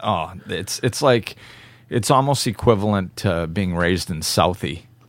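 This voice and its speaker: At a fairly slow pace, a man with an American accent speaks in a very deep, low pitch. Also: ordinary pitch variation. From New England (northern Massachusetts). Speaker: podcast host. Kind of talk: casual chat.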